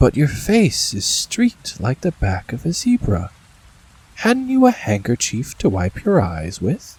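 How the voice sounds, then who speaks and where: A man puts on a shaky character voice with a gentle tone and a fairly high pitch, speaking at a fairly slow pace in a dry, close sound with no echo. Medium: read story. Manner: gentle, kindly, affectionate.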